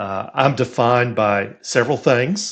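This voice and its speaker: Against a quiet background, a man speaks at a medium pitch with a Texan accent. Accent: Texan American. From Texas. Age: 60s. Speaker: career coach and sports statistician. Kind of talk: podcast interview.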